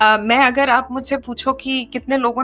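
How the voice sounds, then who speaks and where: The voice has a bright, sharp tone and ordinary pitch variation, with a Marathi accent. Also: woman. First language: Marathi (speaking Hindi). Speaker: writer and film producer. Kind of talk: podcast interview. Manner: hesitant, many fillers.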